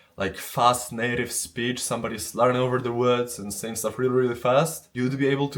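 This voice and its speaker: A man speaks in a Polish accent at a medium pitch and a fairly quick pace. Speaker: Japanese language learner. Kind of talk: casual talk to camera.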